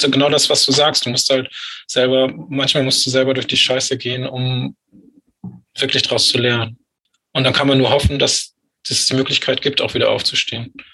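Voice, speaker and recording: His tone is bright and sharp as a man speaks at a moderate pace. The intonation stays monotone and flat. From northern Germany, Lüneburg Heath. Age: 40s. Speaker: author with psychosis experience. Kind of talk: interview about personal story.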